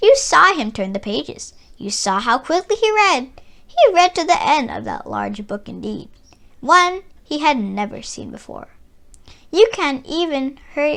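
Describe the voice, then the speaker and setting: A soft-spoken woman's put-on character voice, high-pitched at a moderate pace, with very wide pitch swings and big swings in loudness. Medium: read story. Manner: soft-spoken, sly.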